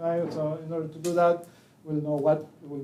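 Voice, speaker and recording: A man speaks at a fairly quick pace with fairly even intonation, with audible room echo and noticeable background noise. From Chile. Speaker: pharmacology professor. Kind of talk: lecture. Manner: halting, many fillers.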